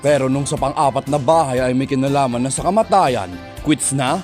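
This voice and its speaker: Music plays in the background as a man talks in a fairly high voice. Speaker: parody trailer narrator. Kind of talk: parody movie trailer narration.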